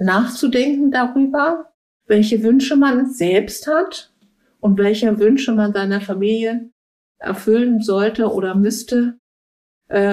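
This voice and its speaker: A woman talks at a very slow pace with long, frequent pauses. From Berlin. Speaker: recruiter. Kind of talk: interview. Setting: at home.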